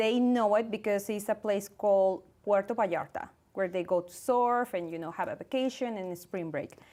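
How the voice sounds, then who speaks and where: On a very clean recording with a silent background, a woman with a slight Mexican accent speaks at a moderate pace and medium pitch in a dark, mellow tone, with ordinary pitch variation. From Mexico, Guadalajara. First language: Spanish. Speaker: actress and producer. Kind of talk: casual interview.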